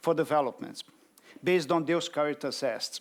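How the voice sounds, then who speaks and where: A man with a Brazilian Portuguese accent talks at a fairly slow pace, his fairly high pitch showing ordinary variation. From Brazil, Rio de Janeiro. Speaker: development bank representative. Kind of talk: conference speech.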